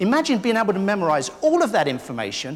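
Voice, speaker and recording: With an English accent, a man talks at a fairly quick pace in a high pitch with very wide pitch swings. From London, England. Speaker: keynote speaker, memory consultant. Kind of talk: live keynote speech. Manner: funny, interactive.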